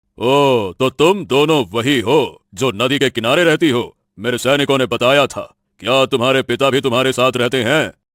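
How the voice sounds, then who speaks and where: A man performs a cartoonish character voice at a medium pitch with hardly any pauses, in a very clean recording with a silent background. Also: moderate pace, dry, close sound with no echo. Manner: authoritative, commanding.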